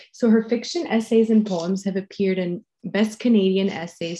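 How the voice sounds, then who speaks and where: A woman with a dark, mellow tone, somewhat breathy, with ordinary pitch variation. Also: quiet background. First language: French. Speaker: contest jury member. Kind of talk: introduction of a speaker. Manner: halting, many fillers.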